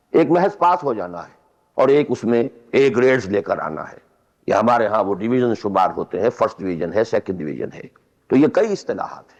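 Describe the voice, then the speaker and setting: Against a quiet background, a man with vocal fry speaks at a medium pitch, with very wide pitch swings and big swings in loudness. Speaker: Islamic scholar giving a religious lecture. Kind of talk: religious lecture (bayan). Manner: explanatory, lecturing.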